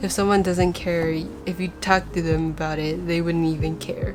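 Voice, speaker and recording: The speaker is a woman. Noticeable background noise runs through the clip. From Taiwan (Taipei). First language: Mandarin Chinese. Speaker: fan vlogger and artist. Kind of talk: casual vlog talk.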